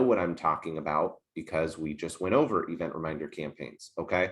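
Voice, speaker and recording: The surroundings are quiet. The voice belongs to a man. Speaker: software trainer. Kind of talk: tutorial. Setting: screen share video call. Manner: fast.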